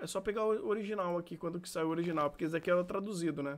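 The background is quiet as a man speaks in a high-pitched voice. His pitch moves with ordinary variation. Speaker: streamer. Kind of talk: casual reaction commentary. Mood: enthusiastic, impressed. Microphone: studio mic.

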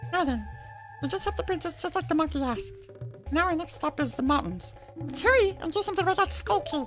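A put-on character voice rattles along at a very fast pace with clear music in the background. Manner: chirpy, cheerful.

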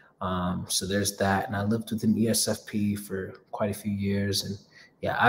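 The man's voice is somewhat breathy. He talks at a fairly slow pace. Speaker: host of a live Q&A. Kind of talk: casual live stream talk. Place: home room. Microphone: phone near.

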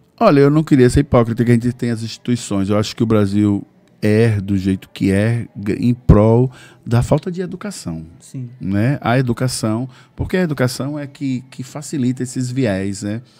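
With a dark, mellow tone, a man talks at a moderate pace and medium pitch, using ordinary pitch variation. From Bahia, Brazil. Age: 50s. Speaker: cultural activist and former radio presenter; podcast guest. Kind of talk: casual interview; interview answer. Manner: halting, with repetitions. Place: studio. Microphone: studio mic.

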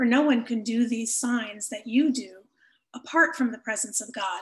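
The voice moves at a moderate pace with ordinary pitch variation. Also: woman. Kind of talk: scripture reading. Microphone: webcam.

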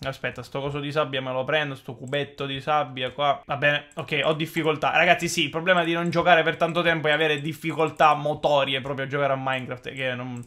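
Against a quiet background, a man with a fairly high pitch talks at a very fast pace with hardly any pauses. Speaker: gaming YouTuber; gaming youtuber. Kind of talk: gameplay commentary. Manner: animated. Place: home room.

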